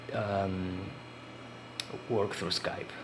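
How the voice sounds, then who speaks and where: A man speaks with a Spanish accent. Noticeable background noise and audible room echo surround him. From Uruguay. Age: 40s. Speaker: indie game developer. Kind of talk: casual vlog talk. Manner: halting, many fillers and repetitions.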